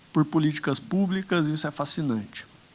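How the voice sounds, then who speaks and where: A man with a rural Brazilian accent. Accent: Brazilian interior. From Brazilian interior. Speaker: political candidate on a panel. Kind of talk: conference panel talk.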